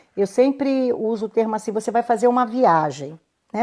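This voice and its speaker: Speaking at a moderate pace, a woman uses a fairly high pitch, a dark, mellow tone and lively intonation. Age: 60s. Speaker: women's health therapist. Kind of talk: live stream talk. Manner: halting.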